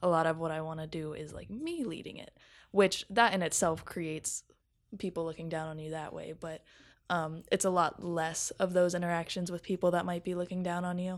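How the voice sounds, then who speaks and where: A woman with a fairly low pitch speaks in a monotone, flat intonation with big swings in loudness. The recording is very clean, with a silent background. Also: fairly quick pace. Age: 20s. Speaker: media producer. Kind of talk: casual chat.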